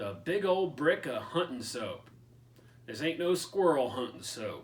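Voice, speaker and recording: A put-on character voice from a man, drawling in a Southern US accent at a fairly slow pace, with a fairly high pitch and lively intonation. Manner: slow drawl with stretched, twangy vowels.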